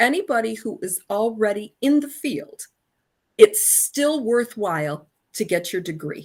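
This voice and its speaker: Somewhat breathy and fairly high-pitched, a woman speaks at a fairly slow pace with very wide pitch swings, recorded very cleanly against a silent background. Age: 60s. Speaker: alumna and communications professional. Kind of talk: interview.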